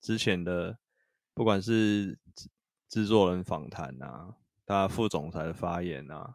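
A man speaks very slowly with a very deep, low pitch. His intonation is lively, on a very clean recording with a silent background. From northern Taiwan, Taipei. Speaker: podcast co-host. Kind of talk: casual chat about video games.

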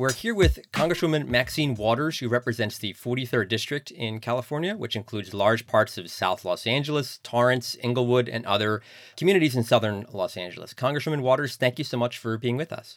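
On a very clean recording with a silent background, a man with a normal speaking voice at medium pitch talks at a fairly quick pace with ordinary pitch variation and hardly any pauses. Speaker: podcast co-host, newspaper reporter. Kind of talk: casual chat and interview.

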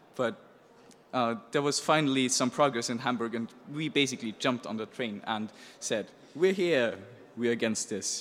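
With a German accent, a man at a medium pitch talks at a moderate pace, using ordinary pitch variation and long, frequent pauses. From Austria. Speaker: hacker journalist. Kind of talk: presentation. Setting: stage with audience.

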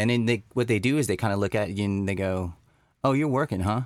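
A man with an American accent speaks fairly quickly at a fairly low pitch, in an ordinary speaking voice. His loudness stays very even and his pitch varies in an ordinary way. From Texas. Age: 40s. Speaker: designer and entrepreneur. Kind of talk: casual chat.

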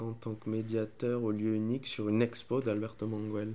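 With a dark, mellow tone, a man speaks at a medium pitch and a fairly slow pace in a monotone, flat intonation. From Honduras. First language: Spanish (speaking French). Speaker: podcast guest, book lover. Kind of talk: casual chat. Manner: halting.

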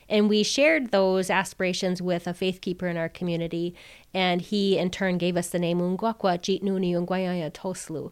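With an American accent, a woman has an unremarkable speaking voice at a medium pitch, moving at a moderate pace in a very clean recording with a silent background. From Wisconsin, Oneida Reservation. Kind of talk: interview.

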